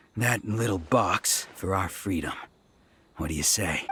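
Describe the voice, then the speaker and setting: A man's raspy, very deep, low put-on character voice with ordinary pitch variation at a moderate pace. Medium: video game. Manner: brash, boastful.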